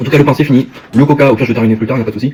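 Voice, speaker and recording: Talking at a very fast pace, a man uses a medium pitch with ordinary pitch variation. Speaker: YouTuber. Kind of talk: food tasting vlog. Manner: fast, sometimes stammering; eating while talking.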